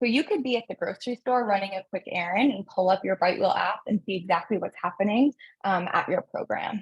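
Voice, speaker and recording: At a fairly quick pace, a woman talks in a somewhat breathy voice of medium pitch with ordinary pitch variation, the sound dry and close with no echo. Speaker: software company representative. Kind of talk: webinar product demo. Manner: fast.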